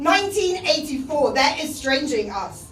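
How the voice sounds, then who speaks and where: Noticeable background noise sits behind a woman speaking at a moderate pace. Her high voice has lively intonation. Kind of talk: spoken word poetry performance.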